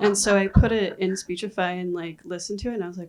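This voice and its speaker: Noticeable background noise around a medium-pitched female voice. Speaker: filmmaker. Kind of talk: panel Q&A. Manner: halting.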